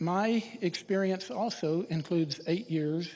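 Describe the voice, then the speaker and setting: Someone with a Texan accent talks at a fairly slow pace. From Texas, Irving. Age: 60s. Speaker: city council candidate. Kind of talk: candidate forum speech. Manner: formal.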